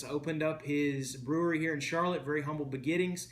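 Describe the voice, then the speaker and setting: A man with a Southern US accent talks at a very fast pace and fairly high pitch. Audible room echo and noticeable background noise surround him. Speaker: beer reviewer. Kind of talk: casual video review. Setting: at home.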